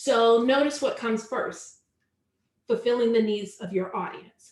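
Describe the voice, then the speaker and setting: A woman with an American accent speaks at a fairly slow pace. Her pitch is fairly high, with ordinary variation. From US South, Charlotte, North Carolina. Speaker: online business coach. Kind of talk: webinar tutorial.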